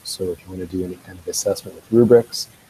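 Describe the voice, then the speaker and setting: Somewhat breathy, this man's voice has a dark, mellow tone. He speaks in that manner throughout. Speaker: educational technology presenter. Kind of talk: tutorial.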